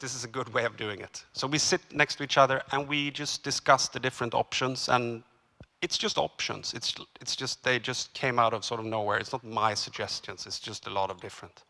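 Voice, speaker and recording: A man talks with a Swedish accent at a moderate pace. His medium-pitched voice has a bright, sharp tone. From Sweden. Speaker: cinematographer. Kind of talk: seminar talk. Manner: halting.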